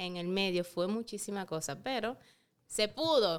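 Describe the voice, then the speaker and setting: Her medium-pitched voice has a bright, sharp tone, and the woman's recording is very clean with a silent background. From Dominican Republic (San Francisco de Macorís). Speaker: beauty pageant titleholder and model. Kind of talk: casual interview chat.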